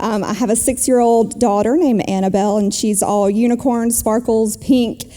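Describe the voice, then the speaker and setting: The speaker has a South Carolina accent and ordinary pitch variation. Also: woman. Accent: South Carolina Southern. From South Carolina, Travelers Rest. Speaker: small-town mayor and business executive. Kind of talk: interview on stage.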